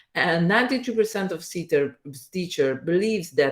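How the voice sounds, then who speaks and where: A woman speaks with an Italian accent. Her intonation is lively. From Italy. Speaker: teacher. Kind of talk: presentation. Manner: halting.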